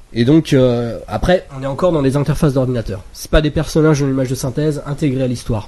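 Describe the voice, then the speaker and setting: A man speaks at a very fast pace in a somewhat breathy, fairly high voice. His tone is dark and mellow, with ordinary pitch variation. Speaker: film podcast panelist. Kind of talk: casual chat.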